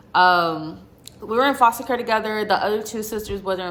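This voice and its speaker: A woman is talking. Her voice shows ordinary pitch variation. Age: 20s. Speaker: YouTuber. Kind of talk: personal testimony. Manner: casual, conversational.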